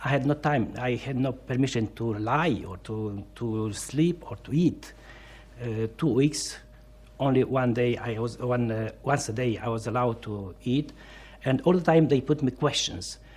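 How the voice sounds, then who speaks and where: A man talks with a Romanian accent. His pitch varies in an ordinary way. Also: medium pitch for a man, fairly slow pace. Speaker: Orthodox priest, former political prisoner. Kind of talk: interview testimony. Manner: halting, many fillers.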